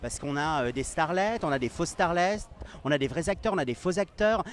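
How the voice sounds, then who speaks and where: A man speaks in a high voice with lively intonation. His pace is moderate. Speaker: fashion interviewer. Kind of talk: interview. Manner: fluent.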